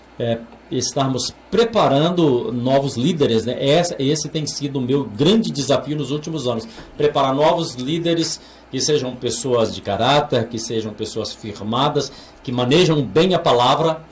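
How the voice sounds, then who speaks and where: Through noticeable background noise, a man speaks fairly slowly at a fairly high pitch with ordinary pitch variation. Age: 60s. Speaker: pastor. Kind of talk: interview. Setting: studio. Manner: halting, with many repeated words.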